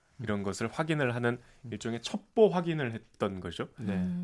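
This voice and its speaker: Speaking at a fairly slow pace, a man with a medium pitch makes very wide pitch swings. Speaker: reporter. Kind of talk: casual chat.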